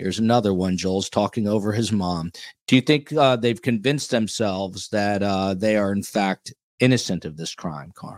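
This is a normal speaking voice from a man, fairly low in pitch with ordinary pitch variation, on a very clean recording with a silent background. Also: moderate pace. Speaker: podcast host. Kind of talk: casual chat.

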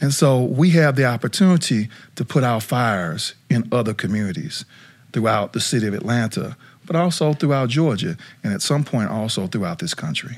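The speaker has a plain, everyday voice and lively intonation at a fairly quick pace. The recording is very clean, with a silent background. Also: man, medium pitch for a man. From South Dakota, US. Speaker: nonprofit CEO and former college football player. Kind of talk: casual interview chat.

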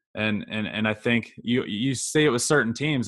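With an American accent, a man speaks in a plain, everyday voice at a medium pitch and a fairly quick pace. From Virginia (Goochland, near Richmond). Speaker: sports podcast co-host. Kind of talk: casual chat.

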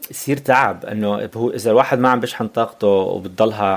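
A man's medium-pitched voice shows ordinary pitch variation. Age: 40s. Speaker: life coach. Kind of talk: casual interview. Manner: code-switching Arabic and English; halting.

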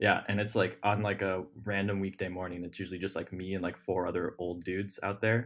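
Against a quiet background, the speaker rushes at a very fast pace in an American accent, monotone and flat, with hardly any pauses. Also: man, very deep, low pitch for a man. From Ohio. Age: 20s. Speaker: dating podcast guest. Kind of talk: casual chat.

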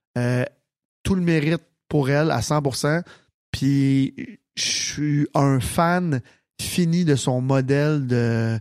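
A man with a fairly high pitch talks at a very slow pace with long, frequent pauses and very even loudness, in a very clean recording with a silent background. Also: ordinary pitch variation. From Quebec, Sainte-Martine. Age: 30s. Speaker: nightclub owner and entrepreneur. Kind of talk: casual chat.

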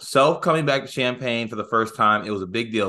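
At a fairly quick pace, a man talks in an energetic tone that is bright and sharp. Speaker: sports podcast co-host. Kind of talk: casual chat.

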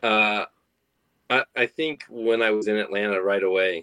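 With an American accent, a man speaks in a dry, close sound with no echo. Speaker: professional baseball pitcher. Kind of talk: interview. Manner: casual, relaxed.

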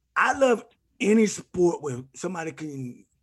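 The tone is animated. Intonation is lively. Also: man. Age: 50s. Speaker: retired football player. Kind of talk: casual sports talk.

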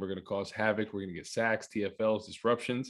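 A man speaks very fast in a fairly low, monotone voice with flat intonation. The background is quiet. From New Jersey (Rutherford). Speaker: former NFL player, TV analyst. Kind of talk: casual chat.

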